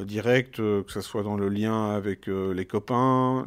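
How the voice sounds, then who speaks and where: A man with a fairly low pitch speaks at a very slow pace and fairly even intonation. The recording is very clean, with a silent background. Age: 50s. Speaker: parent sharing experience. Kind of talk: testimony. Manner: halting, many fillers.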